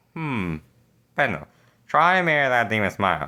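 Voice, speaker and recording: In a very clean recording with a silent background, a man uses a raised, projected, put-on character voice at a medium pitch, swinging very widely in pitch at a moderate pace. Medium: read story. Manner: commanding, imperious.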